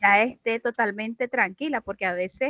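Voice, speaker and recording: A woman with a fairly high, bright and sharp voice speaks at a moderate pace with ordinary pitch variation, the sound dry and close with no echo. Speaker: teacher in a course for educators. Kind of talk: casual class discussion.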